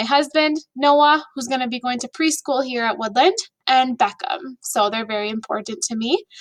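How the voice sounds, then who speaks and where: With an Upper Midwest accent, a woman talks at a fairly quick pace in a high pitch, her tone upbeat and her intonation lively. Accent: Upper Midwest American. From Minnesota, US. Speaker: elementary school teacher. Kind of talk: video presentation to students and families. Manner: casual and upbeat.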